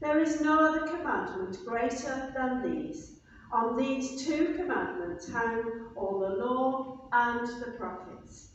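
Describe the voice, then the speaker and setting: Strong room echo and light background noise surround a woman speaking at a very slow pace in a high voice. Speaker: minister leading the service. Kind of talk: liturgical reading. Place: church. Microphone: camera far.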